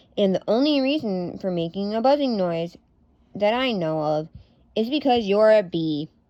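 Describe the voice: The lively intonation runs through this plain reading aloud.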